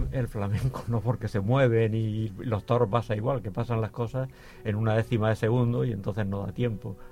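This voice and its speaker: Here a man speaks at a moderate pace with a medium pitch and a dark, mellow tone. His voice is somewhat breathy, and his intonation stays fairly even. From Murcia, Spain. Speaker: painter. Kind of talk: interview.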